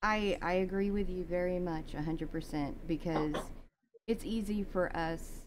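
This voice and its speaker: A woman with an American accent talks at a fairly slow pace in a plain, everyday voice. Her pitch is medium, with ordinary variation. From US South. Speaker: podcast host. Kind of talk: casual interview.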